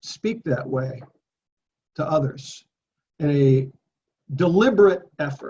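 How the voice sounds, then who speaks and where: A man's somewhat breathy, fairly high voice with a dark, mellow tone, ordinary pitch variation, a very slow pace and long, frequent pauses. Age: 60s. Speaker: Bible study teacher. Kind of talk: Bible study talk.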